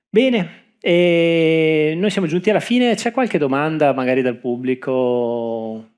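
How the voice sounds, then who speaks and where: A very slow speaker with a Venetian accent, leaving hardly any pauses. The recording is very clean, with a silent background. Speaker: panel moderator. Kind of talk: panel discussion. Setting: stage with audience.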